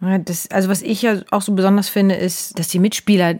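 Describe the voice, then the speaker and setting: Moderate-paced speech from a woman, very clean recording against a silent background. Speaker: psychodrama practitioner and podcast co-host. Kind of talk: casual chat.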